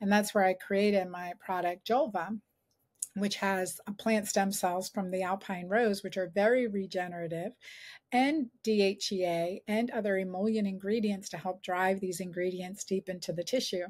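The background stays quiet. A woman reads at a moderate pace, her intonation fairly even. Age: 50s. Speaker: gynecologist and author; guest. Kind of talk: interview. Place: home room.

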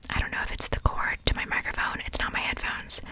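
Whispering, a woman speaks at a fairly quick pace. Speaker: ASMR creator. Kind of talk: casual vlog chat. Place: home room. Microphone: studio mic.

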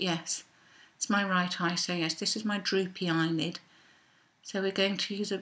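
A woman's fairly quick, fairly evenly intoned speech. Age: 50s. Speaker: belly dancer; makeup vlogger. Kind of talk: makeup tutorial talk to camera. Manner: casual, chatty. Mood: relaxed, self-deprecating humour. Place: home room. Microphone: webcam.

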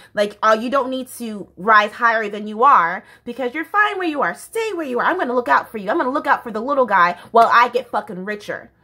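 A woman with an American accent talks at a very fast pace with hardly any pauses, over a quiet background. Her high-pitched voice is bright, sharp and animated, with lively intonation. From United States. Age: 20s. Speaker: YouTuber. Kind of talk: casual vlog monologue. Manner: animated, laughs often. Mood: candid, passionate. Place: home room. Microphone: phone near.

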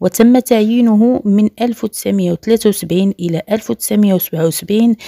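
Ordinary pitch movement, a dark and mellow tone, and a dry, close sound without echo. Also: woman. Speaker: news presenter. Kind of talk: news reading.

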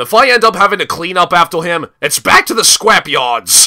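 Using a put-on character voice, a man pitches himself high. His pace is moderate. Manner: sarcastic, exasperated.

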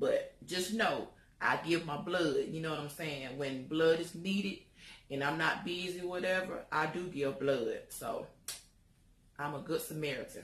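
With an American accent, a woman speaks fairly slowly in a fairly low, somewhat breathy voice with ordinary pitch variation and audible room echo. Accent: strong country. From US South. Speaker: lifestyle vlogger. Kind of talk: casual show-and-tell vlog. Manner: animated, chatty. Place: home room. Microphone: phone near.

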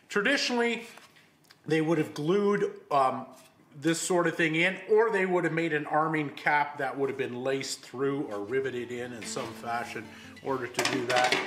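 With music in the background, a man talks at a moderate pace using lively intonation. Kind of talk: tutorial. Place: workshop.

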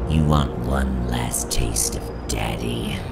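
Over loud background music, a man does a put-on character voice at an extremely low pitch with vocal fry, fairly even intonation and a slow pace.

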